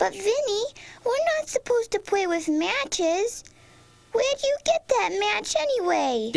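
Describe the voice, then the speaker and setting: Pitched extremely high, this squeaky, cartoonish character voice carries through the clip. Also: moderate pace. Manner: timid, anxious.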